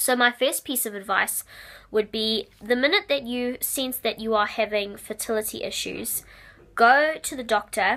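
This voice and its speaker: A woman's fairly high voice with a New Zealand accent, moderate pace and ordinary pitch variation, very cleanly recorded against a silent background. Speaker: vlogger sharing IVF experience. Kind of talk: informal advice vlog. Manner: hesitant, with fillers.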